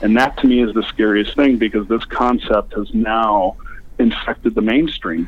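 A man with an American accent speaks at a moderate pace and medium pitch in a plain, everyday voice. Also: ordinary pitch variation. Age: 40s. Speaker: former extremist, nonprofit founder. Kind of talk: interview. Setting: phone call.

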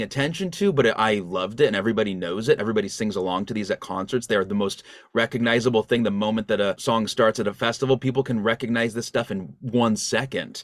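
A man with an unremarkable speaking voice talks fairly quickly at medium pitch. The recording is very clean, silent behind him, and dry and close with no echo. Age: 30s. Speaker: songwriter and music producer. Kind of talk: casual chat. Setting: home studio.

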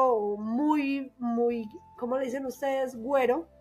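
A woman with a paisa Colombian accent talks at a very slow pace in a high voice. Her intonation is monotone and flat. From Colombia, Antioquia (paisa). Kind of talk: casual chat.

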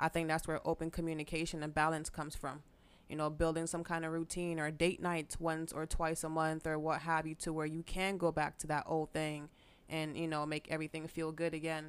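A woman talks in a very deep, low voice. Her pace is fairly quick. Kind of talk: casual chat. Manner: emphatic, animated.

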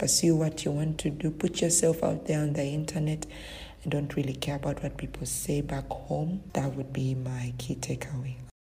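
A woman's very deep, low voice with vocal fry, a dark, mellow tone, monotone, flat intonation and a moderate pace. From Uganda. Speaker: virtual assistant business owner. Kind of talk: recorded interview answers.

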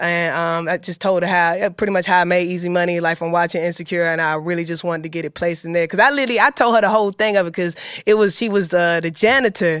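A woman speaks at a very fast pace with hardly any pauses, her animated tone sitting fairly low in pitch with ordinary pitch variation. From Atlanta, west side. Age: young. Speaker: rapper. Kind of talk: interview.

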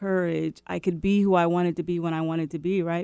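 A woman's dark, mellow tone at fairly low pitch, with fairly even intonation, on a very clean recording with a silent background. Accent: American. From West Seattle, Washington, US. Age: 50s. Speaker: author and publisher. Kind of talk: casual chat.

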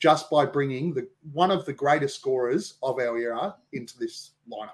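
A man in an Australian accent, fairly high pitched with ordinary pitch variation, at a moderate pace. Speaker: basketball podcaster. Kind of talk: casual chat. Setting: video call.

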